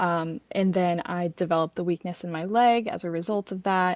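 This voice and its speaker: A woman talks in an unremarkable speaking voice. Her pitch is medium and her intonation fairly even. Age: 20s. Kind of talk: podcast interview answer.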